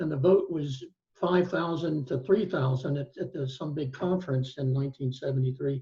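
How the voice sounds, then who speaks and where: A man's fairly high voice with an American accent, a dark, mellow tone and some breathiness, ordinary pitch variation and a moderate pace. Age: 60s. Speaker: law professor and retired attorney. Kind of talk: panel discussion. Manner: halting, many fillers.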